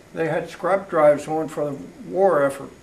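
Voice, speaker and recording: An American accent at a moderate pace, with audible room echo and noticeable background noise. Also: man. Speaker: local elder interviewee. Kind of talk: oral history interview.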